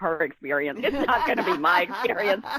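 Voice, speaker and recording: In a plain, everyday voice, a woman speaks fairly quickly at a medium pitch, the sound dry and close with no echo, on a very clean recording with a silent background. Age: 60s. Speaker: novelist. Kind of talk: interview.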